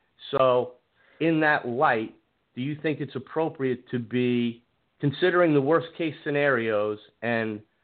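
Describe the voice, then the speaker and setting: This is an unremarkable speaking voice from a man at a medium pitch. He talks at a fairly slow pace with ordinary pitch variation. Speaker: caller. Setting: phone call.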